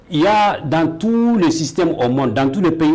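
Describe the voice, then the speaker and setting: A man speaks at a fairly high pitch, with audible room echo. There is noticeable background noise as well. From Mali. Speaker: teacher. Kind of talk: interview. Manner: halting.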